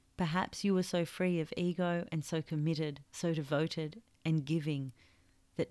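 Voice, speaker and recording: At a moderate pace, a woman talks with a very deep, low pitch. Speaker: podcast host and author. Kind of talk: reflective solo podcast monologue; reading aloud from own book. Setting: makeshift home recording studio.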